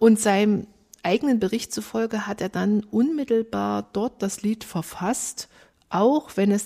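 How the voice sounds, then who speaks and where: At a fairly slow pace, a woman speaks at a medium pitch with ordinary pitch variation and a dark, mellow tone. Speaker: church musician, podcast co-host. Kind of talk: podcast discussion.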